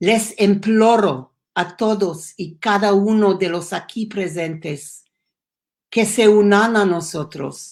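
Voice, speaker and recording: The recording is very clean with a silent background. A woman of medium pitch speaks at a very slow pace. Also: ordinary pitch variation. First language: English (speaking Spanish). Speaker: education program founder. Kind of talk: prepared speech. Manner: halting.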